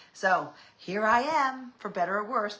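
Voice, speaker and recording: A woman with lively intonation over noticeable background noise. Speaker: fashion stylist vlogger. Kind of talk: casual livestream chat. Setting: live stream.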